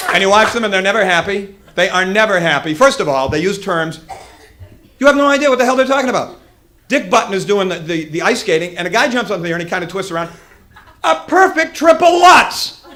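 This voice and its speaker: Raising and projecting his high voice, a man talks at a very fast pace with lively intonation. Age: 30s. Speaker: stand-up comedian. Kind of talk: stand-up.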